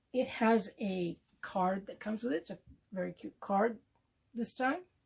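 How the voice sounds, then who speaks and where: Loudness swings widely as a woman speaks with a fairly high pitch, lively intonation and a somewhat breathy voice. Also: moderate pace. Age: 60s. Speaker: beauty product youtuber. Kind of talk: unboxing video. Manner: hesitant, with fillers.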